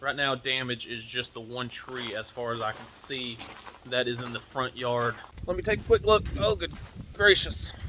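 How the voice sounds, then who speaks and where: A man talks at a moderate pace with lively intonation. There is noticeable background noise. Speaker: preparedness video creator. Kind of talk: casual vlog update. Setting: outdoors.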